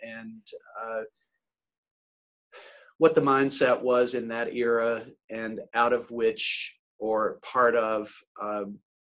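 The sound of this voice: A man with an American accent speaks in a fairly bright tone.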